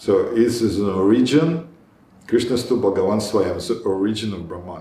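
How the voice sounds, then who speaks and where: Audible room echo surrounds a man speaking at a moderate pace. His fairly low pitch shows ordinary variation, and his loudness swings widely. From Israel. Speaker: spiritual teacher. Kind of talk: lecture; group discussion. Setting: meeting hall with small group. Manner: halting.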